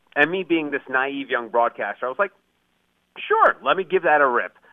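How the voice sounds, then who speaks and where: This unremarkable speaking voice moves along at a fairly quick pace. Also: man. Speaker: author and podcast coach. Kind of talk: interview.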